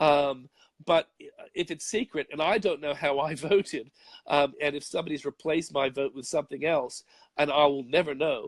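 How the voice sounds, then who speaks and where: Speaking with an Australian accent at a moderate pace, a man uses a fairly high pitch and fairly even intonation, recorded with a dry, close sound and no echo. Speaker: conservative commentator. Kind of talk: interview answer.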